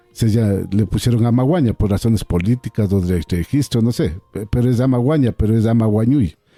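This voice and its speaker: Hardly pausing, a man talks at a fairly quick pace in a dark, mellow tone. The sound is dry and close, without echo. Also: medium pitch for a man, ordinary pitch variation. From Ecuador, Andean Kichwa community. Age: 60s. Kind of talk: radio interview. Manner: halting, frequent repetitions.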